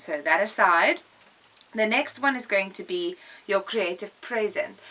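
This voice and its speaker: A woman's medium-pitched voice at a moderate pace, with lively intonation. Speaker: art teacher. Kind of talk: tutorial. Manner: animated. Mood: calm, warm, reflective. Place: studio. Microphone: camera far.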